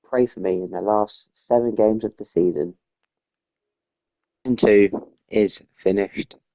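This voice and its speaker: Soft-spoken and dark, mellow in tone, a man talks at a fairly low pitch and a fairly slow pace. His intonation stays fairly even, though his loudness swings widely and he takes long, frequent pauses. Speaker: gaming youtuber. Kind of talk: gameplay commentary. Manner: halting.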